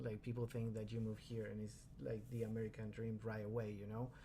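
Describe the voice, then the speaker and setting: At a fairly quick pace, the speaker talks with a Spanish accent in a dark, mellow, somewhat breathy tone. The intonation is monotone and flat, with audible room echo. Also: man. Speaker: card collector and streamer. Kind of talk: casual interview chat. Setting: video call.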